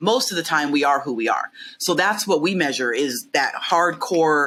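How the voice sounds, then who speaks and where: Loud and bright with a sharp tone, a woman speaks at a moderate pace with lively intonation on a very clean recording with a silent background. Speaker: behavioural science consultant. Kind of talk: casual interview chat. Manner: loud, outgoing.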